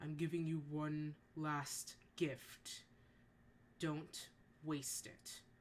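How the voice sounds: In a gravelly, put-on character voice at a middle pitch, the speaker goes at a very slow pace with long, frequent pauses over clear background noise.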